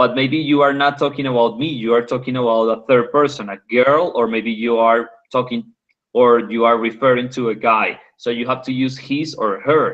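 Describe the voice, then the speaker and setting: An ordinary speaking voice from a man, medium-pitched, at a moderate pace with fairly even intonation. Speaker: English conversation tutor. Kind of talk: online English class.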